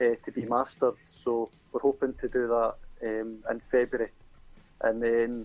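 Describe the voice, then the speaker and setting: With music playing in the background, a man with a Scottish accent speaks at a moderate pace in a monotone, flat intonation. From Scotland. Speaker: singer-songwriter. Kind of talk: interview.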